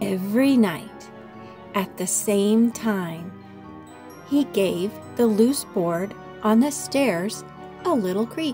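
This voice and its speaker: A woman speaks at a very slow pace, pausing long and often, with medium pitch and ordinary pitch variation. Music plays in the background. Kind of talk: children's story read-aloud.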